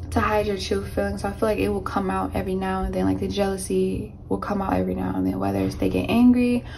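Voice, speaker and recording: A woman talks at a very fast pace with hardly any pauses. Light background noise can be heard. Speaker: tarot reader. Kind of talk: tarot reading monologue. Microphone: phone near.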